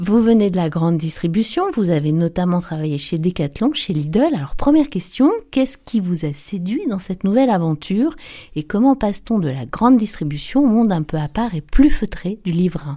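A woman speaks in a dark, mellow tone with fairly low pitch. Her intonation is lively. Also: moderate pace.

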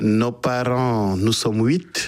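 A man talks at a very slow pace and a medium pitch. His intonation stays fairly even.

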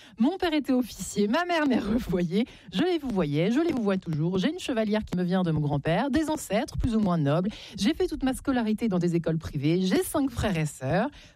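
A woman's dark, mellow tone, fairly quick pace and big pitch swings. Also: medium pitch for a woman.

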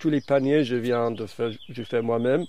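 A man with a non-native accent talks at a fairly slow pace in a dark, mellow tone. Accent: foreign, learned French in Brittany.

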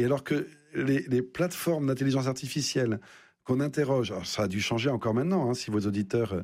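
A man with a slightly mellow tone and a medium pitch speaks at a fairly quick pace with ordinary pitch variation.

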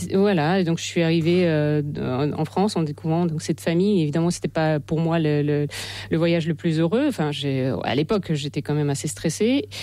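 Her dark, mellow tone sits at a low pitch as the woman talks with ordinary pitch variation. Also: fairly quick pace.

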